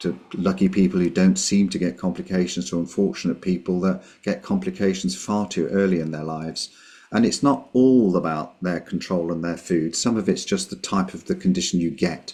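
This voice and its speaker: In a British accent, a man with a very deep, low pitch talks at a moderate pace with ordinary pitch variation and hardly any pauses. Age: 60s. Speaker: GP doctor with type one diabetes. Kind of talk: radio interview. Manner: hesitant, many repetitions.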